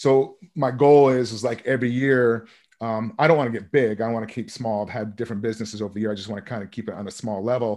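Speaking very fast with an American accent, a man keeps his intonation fairly even while his loudness swings widely against a quiet background. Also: medium pitch for a man. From Vermont, US. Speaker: real estate investor. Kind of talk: interview.

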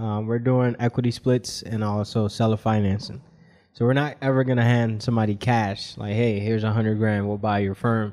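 A man at medium pitch with a dark, mellow tone, speaking at a fairly quick pace. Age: 20s. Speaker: tax accountant and entrepreneur. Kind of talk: interview.

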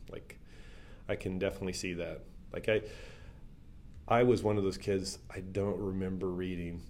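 Amid audible room echo, a man speaks at a very deep, low pitch and a moderate pace, in a monotone, flat intonation with long, frequent pauses. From small town. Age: 60s. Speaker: pastor and ministry worker. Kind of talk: interview conversation.

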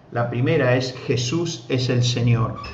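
Noticeable background noise and audible room echo surround this man's voice. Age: 50s. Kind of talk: sermon. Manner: frequent filler hesitations.

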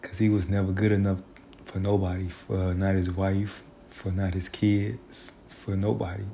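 At a moderate pace, a man speaks with a very deep, low pitch, a somewhat breathy, dark, mellow tone and monotone, flat intonation. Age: 30s. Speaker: vlogger. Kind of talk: personal monologue. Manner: reflective.

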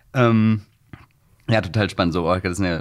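Moderate tempo and normal pitch movement from a man with a fairly low voice. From Hamburg, Wilhelmsburg. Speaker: podcast host. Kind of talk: interview.

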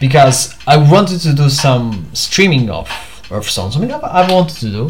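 A man with a Portuguese accent speaks at a medium pitch with lively intonation. Noticeable background noise runs under his voice. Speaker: solo podcaster / vlogger. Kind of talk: casual solo monologue. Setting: home at night, on camera. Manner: halting, many fillers.

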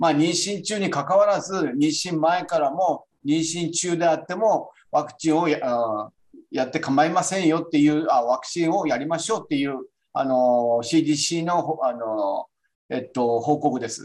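A man speaks at a fairly high pitch with ordinary pitch variation. His is a plain, everyday voice, moving at a moderate pace. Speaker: physician presenting a journal paper. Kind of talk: online journal club presentation. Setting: video call.

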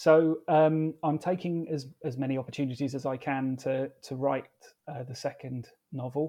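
A man's dark, mellow tone at a moderate pace. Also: fairly high pitch for a man. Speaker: author. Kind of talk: interview answers, then audiobook-style reading aloud of own novel. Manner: hesitant, filler-heavy speech with repeated words.

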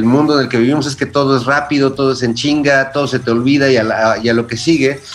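Noticeable background noise behind a man's fairly quick, medium-pitched delivery. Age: 40s. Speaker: musician and writer. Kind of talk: casual chat.

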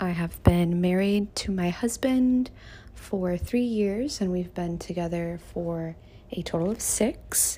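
A woman with an American accent, fairly low in pitch, dark and mellow in tone and somewhat breathy, at a very slow pace with ordinary pitch variation, in a very clean recording with a silent background. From US South, Miami, Florida. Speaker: podcast host and content creator. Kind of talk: casual monologue.

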